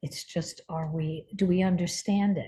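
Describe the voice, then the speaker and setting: A woman's somewhat breathy, medium-pitched voice with a dark, mellow tone and ordinary pitch variation, against a quiet background. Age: 70s. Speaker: spiritual healer and teacher. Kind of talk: interview conversation.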